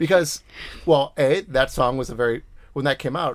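Talking in a Boston accent, a man speaks at a fairly quick pace. His pitch is medium, with ordinary pitch variation. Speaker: podcast host. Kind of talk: casual chat.

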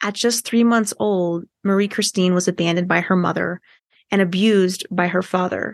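The woman has a normal speaking voice at a medium pitch with fairly even intonation, heard dry and close with no echo against a quiet background. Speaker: podcast host. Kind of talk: casual interview.

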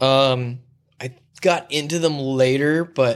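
With a Southern Californian accent, a man speaks at a medium pitch with ordinary pitch variation. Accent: Southern Californian American. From San Diego, California (La Mesa, East County). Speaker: gaffer / set lighting technician. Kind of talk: casual chat.

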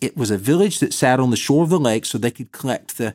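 A man with an Alabama accent at a medium pitch, lively in intonation, in a very clean recording with a silent background and a dry, close sound with no echo. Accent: Southern US (Alabama). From US South, Bessemer, Alabama. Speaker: Sunday school teacher and podcast host. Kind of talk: Bible teaching talk.

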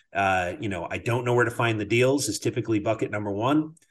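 Somewhat breathy, a man talks at a fairly quick pace and medium pitch. The background is quiet. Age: 50s. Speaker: podcast host. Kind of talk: casual interview chat. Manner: filler-heavy, conversational.

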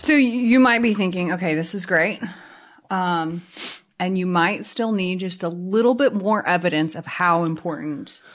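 A woman with a plain, everyday voice speaks at medium pitch and a moderate pace, her intonation lively and her loudness swinging widely. The recording is very clean, with a silent background. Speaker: insurance coach and podcast host. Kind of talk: casual co-hosted podcast chat.

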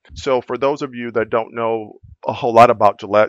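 An unremarkable speaking voice proceeds at a moderate pace with fairly even intonation. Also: man. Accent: American. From Louisiana, US South. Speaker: healthcare executive. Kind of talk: interview.

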